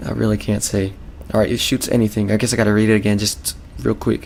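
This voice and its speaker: A man's fairly low-pitched voice at a very fast pace. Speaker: gaming video creator. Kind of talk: let's play commentary. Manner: casual, rambling.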